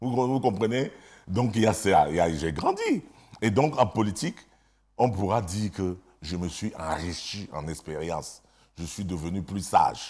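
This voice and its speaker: In a very clean recording with a silent background, a man speaks at a fairly slow pace with lively intonation and big swings in loudness. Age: 60s. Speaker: politician, government minister. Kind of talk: TV interview. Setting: TV studio.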